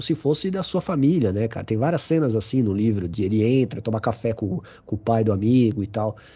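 The speech moves at a moderate pace. It is an unremarkable speaking voice. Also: man. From São Paulo south zone (Grajaú), Brazil. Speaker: teacher and runner. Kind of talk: casual chat.

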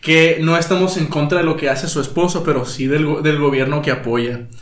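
Heard over noticeable background noise and audible room echo, a man talks at a moderate pace with a fairly high pitch and fairly even intonation. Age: 20s. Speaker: podcast host. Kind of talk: casual chat.

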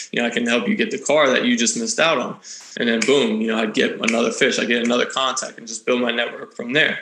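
This man talks very fast while noticeable noise sits in the background. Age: 30s. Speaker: luxury car broker and real estate agent. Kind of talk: casual interview.

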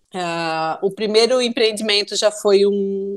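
A Santa Catarina accent at a fairly slow pace. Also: woman. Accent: Brusque (Santa Catarina) accent, noticeable. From Brusque, Santa Catarina, Brazil. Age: 30s. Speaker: businesswoman. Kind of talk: casual interview.

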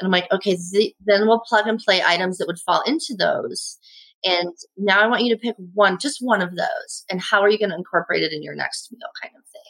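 With a Midwestern American accent, a woman talks at a fairly quick pace and a medium pitch, her intonation lively and her loudness swinging widely. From US Midwest (Indiana). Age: 50s. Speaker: chef. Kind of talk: casual chat.

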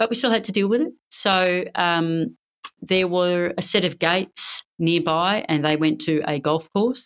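This woman has a fairly low pitch. Her loudness stays very even throughout. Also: ordinary pitch variation. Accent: Australian. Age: 50s. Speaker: Olympic badminton player and police officer. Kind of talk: interview. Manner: energetic.

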